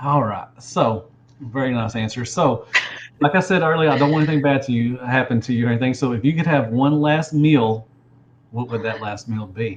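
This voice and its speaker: A man with a Southern US accent, somewhat breathy, at a fairly quick pace. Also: medium pitch for a man, ordinary pitch variation. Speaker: toy collector video host. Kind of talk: casual interview.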